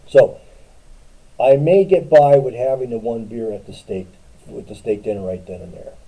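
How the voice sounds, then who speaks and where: Speaking at a moderate pace, a man with a medium pitch and a dark, mellow tone makes very wide pitch swings and big swings in loudness, with long, frequent pauses. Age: 60s. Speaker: streamer in recovery. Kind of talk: casual livestream talk. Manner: halting, repetitive.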